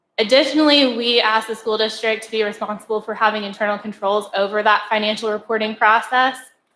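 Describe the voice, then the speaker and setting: Soft-spoken and fairly quick, a woman talks in a fairly high voice with fairly even intonation. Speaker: auditor presenting to school board. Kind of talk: formal presentation. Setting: board meeting room.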